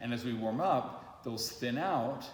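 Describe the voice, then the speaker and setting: With noticeable background noise and audible room echo, a man's voice sits at a medium pitch. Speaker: voice teacher. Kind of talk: tutorial. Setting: early morning.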